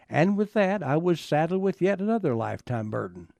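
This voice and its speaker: Against a quiet background, a man speaks at a moderate pace in a high voice with a dark, mellow tone. His pitch swings very widely. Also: dry, close sound with no echo. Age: 70s. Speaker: radio commentator. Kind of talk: scripted humorous monologue.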